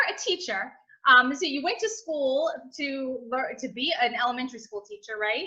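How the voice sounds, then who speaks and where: Using a raised, projected voice, a woman speaks at a moderate pace with a high pitch, very wide pitch swings and a bright, sharp tone. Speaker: podcast host. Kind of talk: podcast interview.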